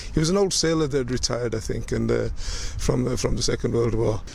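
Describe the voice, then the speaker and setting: This man speaks at a very fast pace with fairly even intonation. There is noticeable background noise. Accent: Yorkshire. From northern England, Leeds (Kirkstall). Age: 60s. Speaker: community elder sharing oral history. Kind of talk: personal reminiscence interview.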